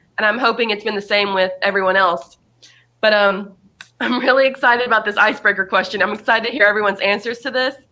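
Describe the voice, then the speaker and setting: A woman talks at a very fast pace, her pitch fairly high with ordinary variation. Her tone is bright and sharp. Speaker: discussion leader. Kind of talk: group discussion.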